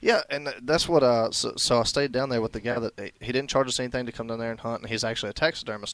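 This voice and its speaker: Racing along very fast with hardly any pauses, a man talks with an American accent. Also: medium pitch for a man, ordinary pitch variation. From North Carolina. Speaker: hunting show host. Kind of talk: casual chat, storytelling.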